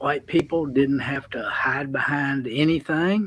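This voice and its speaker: A man with a Southern US accent, fairly high pitch and ordinary pitch variation. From US South. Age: 60s. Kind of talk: casual chat.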